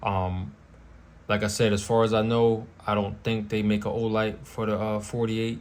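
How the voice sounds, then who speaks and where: Audible room echo surrounds a man with a fairly low pitch. He talks fairly quickly with monotone, flat intonation. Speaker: firearms YouTuber. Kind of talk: casual product show-and-tell. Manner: casual, with frequent fillers.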